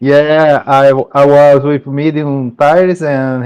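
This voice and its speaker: Speaking at a very slow pace, a man keeps a monotone, flat intonation. His pitch is fairly high. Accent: Brazilian Portuguese. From Brazil. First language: Portuguese. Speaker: sim racing driver. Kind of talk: post-race interview. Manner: halting.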